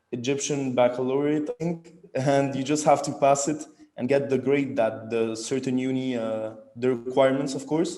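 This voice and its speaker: This man talks at a medium pitch in a flat, monotone delivery. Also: moderate pace. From Egypt, Cairo. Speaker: university student. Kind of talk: interview. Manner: halting, many fillers.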